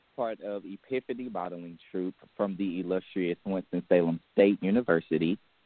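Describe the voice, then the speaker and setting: Speaking at a moderate pace with hardly any pauses, a man with a very deep, low voice keeps his intonation fairly even. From North Carolina, near Charlotte. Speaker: aspiring entertainer and model. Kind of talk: interview.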